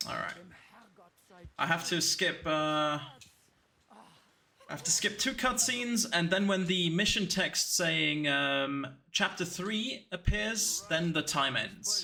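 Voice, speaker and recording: With a German accent and a bright, sharp tone, a man talks at a very slow pace in a high pitch, his intonation lively and his pauses long and frequent. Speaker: speedrunner streamer. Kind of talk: live commentary. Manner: halting.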